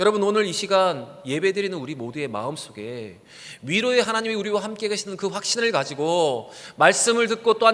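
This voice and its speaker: Noticeable background noise sits behind this man's voice. He speaks at a fairly quick pace and a high pitch with lively intonation. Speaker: pastor. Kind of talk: sermon. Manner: fast.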